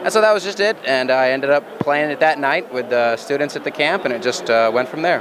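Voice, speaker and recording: With noticeable background noise behind him, a man speaks at a fairly quick pace with hardly any pauses, in a fairly high pitch with lively intonation. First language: English (speaking German). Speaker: board game designer. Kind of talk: interview. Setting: trade fair floor.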